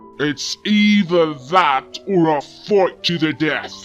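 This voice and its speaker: A growling, put-on character voice at a middle pitch moves at a fairly slow pace over clear music in the background. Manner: threatening, aggressive.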